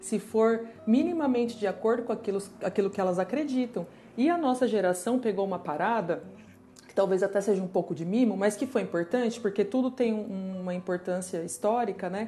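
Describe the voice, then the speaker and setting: A woman speaks in a plain, everyday voice at a medium pitch. Her pace is fairly quick, with ordinary pitch variation. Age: 30s. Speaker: designer. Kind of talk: casual chat.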